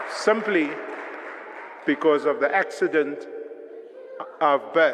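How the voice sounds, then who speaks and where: A man's voice with crowd noise in the background. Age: 60s. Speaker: professor. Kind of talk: lecture. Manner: animated.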